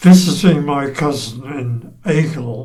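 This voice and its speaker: There's audible room echo around a man's dark, mellow, somewhat breathy voice. His pitch varies in an ordinary way. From England. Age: 90s. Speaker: oral history interviewee. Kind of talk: oral history interview. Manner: halting.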